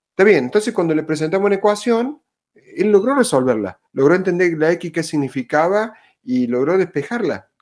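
This speaker talks in a Cordoban Argentine accent at a moderate pace. The pitch swings very widely. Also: man. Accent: Argentine Spanish, Córdoba. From Argentina, Córdoba. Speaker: school principal. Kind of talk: roundtable discussion.

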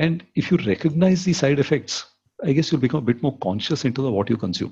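Against a quiet background, a man talks at a fairly quick pace in a fairly high, somewhat breathy voice with a dark, mellow tone. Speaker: venture capitalist and entrepreneur. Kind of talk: casual interview. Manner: frequent filler 'okay'.

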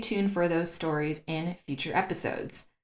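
At a moderate pace, a woman with a plain, everyday voice talks in a fairly low pitch with ordinary pitch variation. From United States. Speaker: podcast host and diversity consultant. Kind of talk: scripted intro narration; interview conversation.

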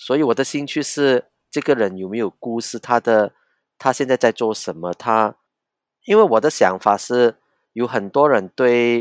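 A man at a fairly slow pace with a Cantonese accent, in a dry, close sound with no echo and a very clean recording against a silent background. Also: medium pitch for a man, ordinary pitch variation. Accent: Cantonese-accented Mandarin. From Hong Kong. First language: Cantonese (speaking Chinese). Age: 50s. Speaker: pastor and independent journalist. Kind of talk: casual interview. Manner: halting, repeats words.

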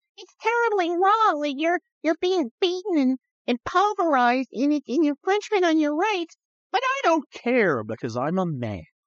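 A put-on character voice speaks at a high pitch and a moderate pace. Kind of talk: whiny, sarcastic. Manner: mocking.

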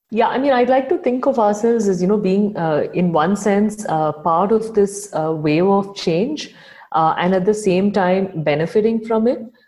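With hardly any pauses, a woman speaks at medium pitch in a dark, mellow tone, her loudness very even and her pitch variation ordinary. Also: moderate pace. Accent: Tamil. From India, Chennai. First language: Tamil. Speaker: founder of an online magazine. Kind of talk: interview. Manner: hesitant, with many fillers.

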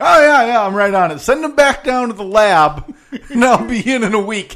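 A man with a high pitch talks at a moderate pace. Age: 20s. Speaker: podcast co-host. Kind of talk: casual chat. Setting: studio.

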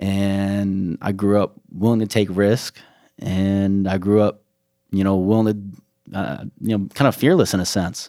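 A man's fairly low voice with an American accent, monotone and flat, at a fairly slow pace in a very clean recording with a silent background. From US Midwest (Chicago area), then North Carolina from age 15. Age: 20s. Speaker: beverage company founder. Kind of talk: interview.

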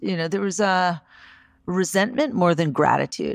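A woman with vocal fry speaks at a fairly low pitch and moderate pace, in a dry, close sound with no echo and a very clean recording with a silent background. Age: 40s. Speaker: podcast host and life coach. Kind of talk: solo podcast monologue with guided reflection. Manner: warm, enthusiastic.

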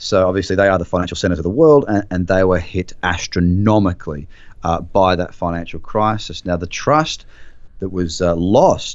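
The speaker talks in an Australian accent at a moderate pace with ordinary pitch variation. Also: man, very deep, low pitch for a man. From Queensland, Australia. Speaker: trader and trading mentor. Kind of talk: interview.

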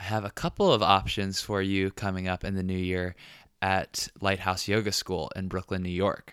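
An unremarkable speaking voice, a man's at a fairly low pitch, moves at a moderate pace in a dry, close sound with no echo on a very clean recording with a silent background. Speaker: podcast host.

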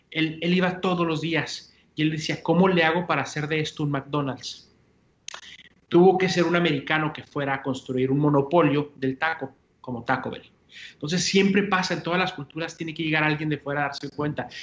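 Talking at a fairly quick pace, a man with a Mexican accent uses fairly even intonation at a fairly high pitch. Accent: Mexican-sounding Spanish. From US-Mexico border, El Paso, Texas. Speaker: entrepreneur, coffee company founder. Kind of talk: interview.

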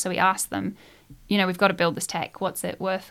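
Speaking at a very fast pace, a woman uses a medium pitch and a monotone, flat intonation with vocal fry. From England, then Nelson, New Zealand from age twelve. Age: 20s. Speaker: social entrepreneur, co-founder of a volunteering app. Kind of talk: casual interview.

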